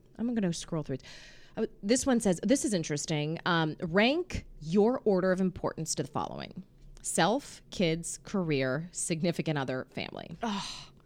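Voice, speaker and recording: This woman has an American accent and a fairly low pitch, speaking at a moderate pace with lively intonation. The recording is very clean, with a silent background. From Pittsburgh, Pennsylvania. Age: 30s. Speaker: podcast host. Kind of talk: casual chat.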